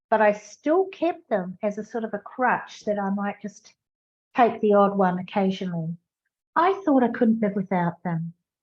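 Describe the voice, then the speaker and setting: Her somewhat breathy voice moves at a moderate pace, and this woman's medium pitch carries lively intonation. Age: 70s. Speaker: podcaster. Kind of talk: personal podcast talk.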